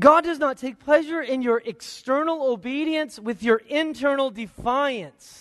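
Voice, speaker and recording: A man with an extremely high pitch and ordinary pitch variation talks with hardly any pauses. His tone is warm and animated, over a quiet background. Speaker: pastor. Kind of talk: sermon. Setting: church with congregation. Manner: warm, conversational and animated, joking with the congregation; emphatic, repeating key lines for impact.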